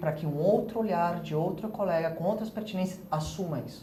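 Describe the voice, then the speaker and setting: A man with a high-pitched voice speaks in a space with audible room echo. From Spanish-speaking country. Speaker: architecture professor. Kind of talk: interview.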